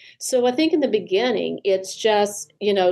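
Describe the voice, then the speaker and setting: A woman talks with a Southern US accent. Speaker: therapist. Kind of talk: podcast interview.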